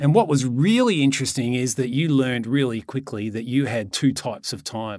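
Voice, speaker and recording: At a fairly quick pace with hardly any pauses, a man with an Australian accent speaks at medium pitch with ordinary pitch variation. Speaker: podcast co-host, property investor and author. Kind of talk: casual chat.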